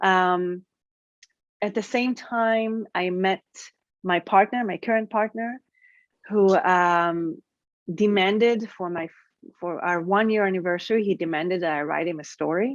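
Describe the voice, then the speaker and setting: In an Israeli accent, a woman talks fairly slowly at a medium pitch with ordinary pitch variation and long, frequent pauses, her dry, close sound carrying no echo over a quiet background. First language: Hebrew. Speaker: writer. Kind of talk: interview. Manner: halting, many fillers.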